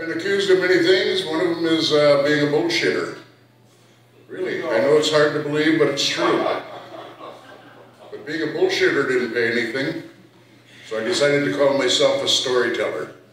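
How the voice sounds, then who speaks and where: A man with an American accent talks at a fairly quick pace, with long, frequent pauses. Noticeable background noise and audible room echo fill the recording. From Minnesota, Fond du Lac Reservation. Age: 60s. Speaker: poet and storyteller. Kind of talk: poetry reading with storytelling.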